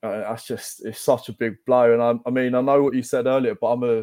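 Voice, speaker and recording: Over a quiet background, a man speaks with a dark, mellow tone and monotone, flat intonation. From East London. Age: 30s. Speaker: football fan guest. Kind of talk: casual chat.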